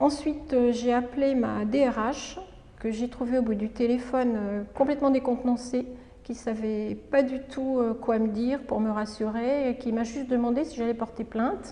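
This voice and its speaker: At a moderate pace, a woman with a high pitch speaks in a fairly even intonation. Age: 60s. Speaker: retired doctor. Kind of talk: testimony. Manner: halting, frequent hesitations.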